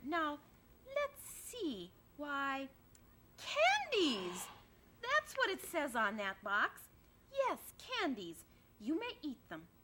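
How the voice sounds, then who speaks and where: Using a put-on character voice, a woman speaks high-pitched and raised, projected, at a very slow pace with long, frequent pauses. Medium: read story. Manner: pompous, self-important.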